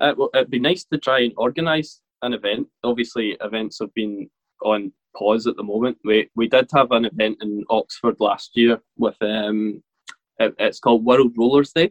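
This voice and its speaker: Moderate pace and ordinary pitch variation in a man's medium-pitched voice. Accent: Glaswegian. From Scotland, Motherwell near Glasgow. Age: 20s. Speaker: professional rollerblader. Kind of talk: interview conversation.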